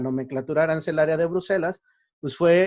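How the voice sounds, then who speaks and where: A man's fairly high-pitched voice with a Mexico City accent and ordinary pitch variation. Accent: Mexico City accent, still noticeable. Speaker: university lecturer. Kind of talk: lecture. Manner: hesitant, many fillers.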